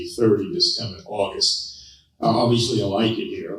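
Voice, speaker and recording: In an American accent, a man with a medium pitch talks at a fairly quick pace amid audible room echo. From US South, Savannah, Georgia. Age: 70s. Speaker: political candidate. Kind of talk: campaign speech. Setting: public forum with audience. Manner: forceful.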